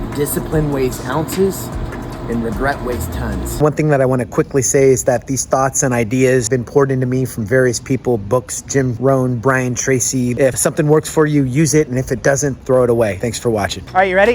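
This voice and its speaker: Noticeable background noise sits behind a man speaking at a medium pitch with ordinary pitch variation. He keeps a fairly quick pace with hardly any pauses. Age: 40s. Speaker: Marine veteran, VA loan officer. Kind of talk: motivational advice talk to camera.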